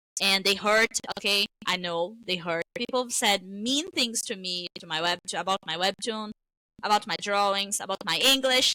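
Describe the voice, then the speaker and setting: In a Brazilian accent, a woman speaks at a moderate pace and medium pitch, her bright, sharp tone showing ordinary pitch variation in a dry, close sound with no echo. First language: Portuguese. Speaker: webtoon creator. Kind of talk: interview. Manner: animated.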